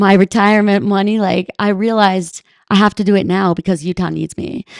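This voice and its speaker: This is an unremarkable speaking voice from a woman with an American accent, medium in pitch. She talks at a fairly quick pace with fairly even intonation, in a dry, close sound with no echo. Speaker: ski mountaineer and Senate candidate. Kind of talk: podcast interview.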